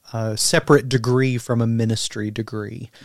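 A man talks with ordinary pitch variation on a very clean recording with a silent background. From US South, southeastern Kentucky. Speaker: theologian and pastor. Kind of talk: casual interview.

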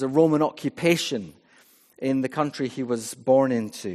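In a west of Scotland accent, a man speaks at a fairly slow pace and a medium pitch with ordinary pitch variation, on a very clean recording with a silent background. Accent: Scottish (west of Scotland). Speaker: vicar. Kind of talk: sermon. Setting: church.

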